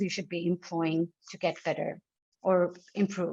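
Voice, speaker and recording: A woman speaks with a strong South Asian accent. The sound is dry and close, with no echo. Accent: strong South Asian (desi) English. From Pakistan, Lahore. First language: not English. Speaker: writer and session leader. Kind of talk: online lecture / talk. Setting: online video session. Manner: mixes reading notes and improvised speech; stumbles and eats words when fast.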